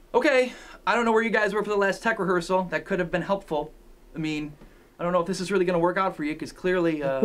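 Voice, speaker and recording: A man with a high pitch races along at a very fast pace, his pitch varying in an ordinary way. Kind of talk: scripted comedic pep talk. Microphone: camera far.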